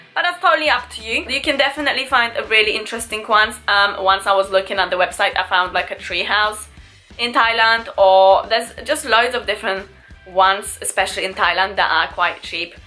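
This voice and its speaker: Over music in the background, a woman talks at a fairly quick pace in a fairly high voice. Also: lively intonation. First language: not English. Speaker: travel and beauty vlogger. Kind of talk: casual talk to camera.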